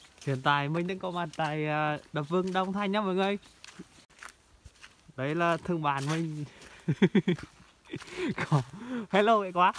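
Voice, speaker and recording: Over light background noise, a man talks at a high pitch with ordinary pitch variation. He goes at a fairly slow pace, with long, frequent pauses. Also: dry sound with no echo. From Nghe An, Vietnam. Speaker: vlogger. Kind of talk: casual talk to camera. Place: waterside. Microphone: phone near.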